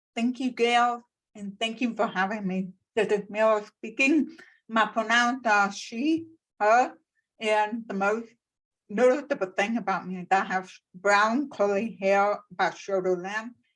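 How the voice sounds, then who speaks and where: Captured on a very clean recording with a silent background, a woman with an American accent talks at a fairly slow pace, with a fairly high pitch and ordinary pitch variation. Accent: deaf. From Texas, Plano. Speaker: accessibility consultant and speaker. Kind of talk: panel discussion.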